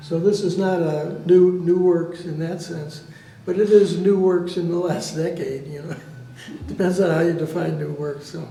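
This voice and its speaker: Moderate pace, big swings in loudness, flat monotone intonation, and music in the background. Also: man, high pitch for a man. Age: 80s+. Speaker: artist. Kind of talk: artist talk presenting own works.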